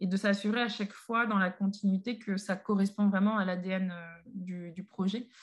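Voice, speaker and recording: Somewhat breathy and monotone, a woman speaks at a medium pitch with flat intonation on a very clean recording with a silent background. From Paris, France. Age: 30s. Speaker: association co-founder, chemist. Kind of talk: podcast interview. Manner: hesitant, many fillers.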